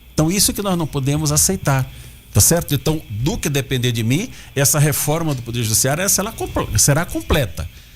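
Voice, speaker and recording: With music in the background, a man speaks at a moderate pace and a fairly high pitch with lively intonation. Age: 70s. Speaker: political candidate. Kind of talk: radio interview.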